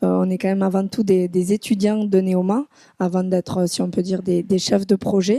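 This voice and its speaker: A woman speaks in a dark, mellow tone with fairly even intonation. Her moderate pace comes through dry and close with no echo. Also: medium pitch for a woman. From southwest France. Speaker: business school student. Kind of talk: podcast interview. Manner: hesitant, many fillers.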